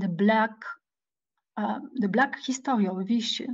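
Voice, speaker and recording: A woman speaks in a fairly high pitch with a somewhat breathy voice. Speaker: historian, guest lecturer. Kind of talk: Q&A discussion after lecture. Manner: halting, many hesitations.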